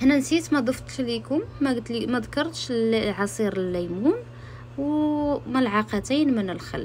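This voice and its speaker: A woman with a Moroccan accent at a moderate pace. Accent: Moroccan Arabic (Darija). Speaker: home cook, cooking channel host. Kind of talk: cooking tutorial voiceover. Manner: hesitant, frequent restarts.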